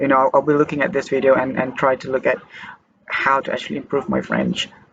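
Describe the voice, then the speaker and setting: A man talks at a very fast pace. He has a Malaysian accent. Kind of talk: casual talk to camera. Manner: hesitant.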